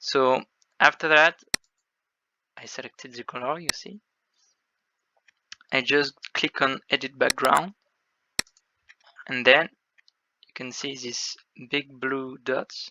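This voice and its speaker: Fairly even intonation in a French accent, with long, frequent pauses and big swings in loudness. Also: man, fairly high pitch for a man. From France. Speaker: game developer. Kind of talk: tutorial. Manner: halting.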